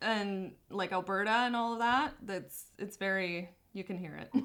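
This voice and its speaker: The tone is bright and sharp. There is a slight Canadian accent. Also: woman. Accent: Canadian accent barely noticeable. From southern Ontario, Canada. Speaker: photographer and business owner. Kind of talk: casual chat.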